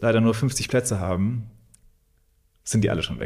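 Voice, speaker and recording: His voice comes across somewhat breathy. The man holds a medium pitch, and his intonation stays fairly even. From Thuringia, Germany (Weimar). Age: 30s. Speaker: gallery owner. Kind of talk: interview.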